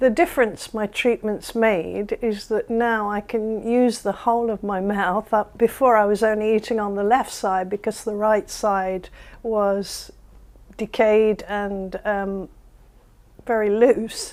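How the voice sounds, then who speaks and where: This woman has a fairly high-pitched voice and talks at a fairly slow pace. It is an ordinary speaking voice. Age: 60s. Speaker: dental patient. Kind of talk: testimonial.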